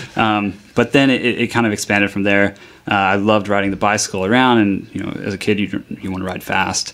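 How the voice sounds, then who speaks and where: Talking at a very fast pace, a man with a Texan accent uses a fairly low, monotone voice with flat intonation. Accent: Texan American English. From North Texas, Dallas-Fort Worth area. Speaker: bike shop owner. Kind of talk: radio interview.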